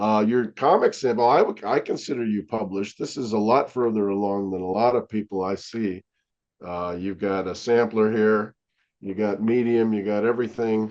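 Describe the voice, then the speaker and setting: A man speaks in a plain, everyday voice, pitched fairly low. His pace is moderate and his intonation fairly even. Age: 60s. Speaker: comic book artist. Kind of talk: casual interview chat.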